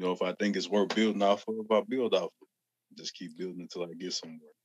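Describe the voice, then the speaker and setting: Talking at a very fast pace in a Southern US accent, a man's volume swings widely between loud and soft. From Arkansas. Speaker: rapper. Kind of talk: podcast interview. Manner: slurred.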